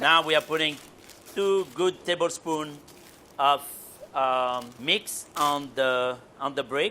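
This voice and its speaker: A man with a French accent and a bright, sharp tone speaks very slowly at a fairly high pitch with ordinary pitch variation, leaving long, frequent pauses. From France. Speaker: chef. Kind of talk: cooking instruction.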